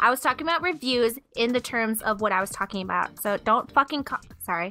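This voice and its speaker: A woman's fairly high voice at a fairly quick pace with lively intonation, music playing in the background. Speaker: YouTube video creator. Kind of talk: casual chat. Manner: fast.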